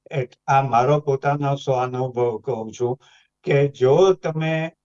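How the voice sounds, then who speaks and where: The fairly high voice of a man comes through dry and close, with no echo. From Mumbai, India. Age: 80s+. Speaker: retired bank employee. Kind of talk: talk show discussion.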